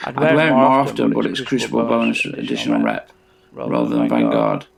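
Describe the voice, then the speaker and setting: Moderate-paced male speech over noticeable background noise. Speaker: gaming YouTuber. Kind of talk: gameplay commentary. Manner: halting, many fillers. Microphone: audio problems in this upload.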